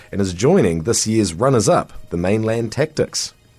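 Lively intonation from a man with an ordinary speaking voice, at a moderate pace. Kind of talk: news reading. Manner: formal; steady, even-paced delivery.

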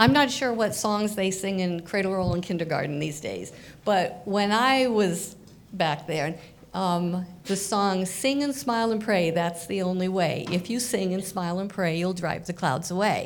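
A woman with a normal speaking voice talks at a moderate pace, using a medium pitch and ordinary pitch variation. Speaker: psychologist, audience member.

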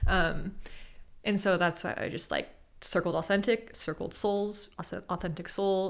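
Speaking with an American accent, a woman has a medium pitch. Her pace is fairly slow and her intonation fairly even. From US West, Sacramento, California. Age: 20s. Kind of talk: casual chat.

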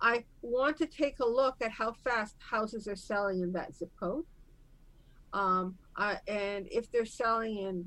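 A woman with a fairly high voice speaks very slowly, her intonation lively. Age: 60s. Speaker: real estate investor. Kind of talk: casual interview.

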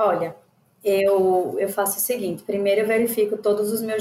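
With a medium pitch, this woman talks in a flat, monotone way. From Aracaju, Sergipe, Brazil. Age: 20s. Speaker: exam student. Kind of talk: casual chat.

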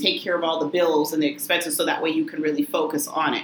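A woman with an American accent at a fairly low pitch and very fast pace, ordinary pitch variation, amid noticeable background noise and audible room echo. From Massachusetts, Lynn (Boston area). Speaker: attorney and business owner. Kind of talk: interview.

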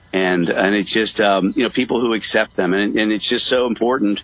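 Fairly even intonation from a man pitched fairly low, moving at a moderate pace amid noticeable background noise. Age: 60s. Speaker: real estate broker and parent advocate. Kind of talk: radio interview. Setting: remote call from a coffee shop.

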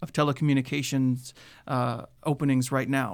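Fairly quick in pace, a man with an American accent uses an unremarkable speaking voice at a fairly high pitch, on a very clean recording with a silent background. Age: 30s. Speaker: public safety communications administrator, former TV reporter. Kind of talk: radio interview. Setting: radio studio.

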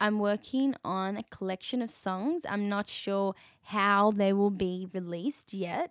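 In an Australian accent, a woman speaks at a fairly slow pace and medium pitch with ordinary pitch variation. The recording is very clean with a silent background and a dry, close sound with no echo. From Western Sydney, Australia. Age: 20s. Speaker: singer-songwriter. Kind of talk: casual interview chat.

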